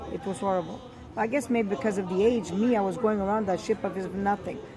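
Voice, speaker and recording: Amid crowd noise and audible room echo, a woman talks at a fairly quick pace in a medium pitch. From Sicily, Italy. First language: Italian. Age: 70s. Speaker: grandmother telling family history. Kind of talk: oral history interview.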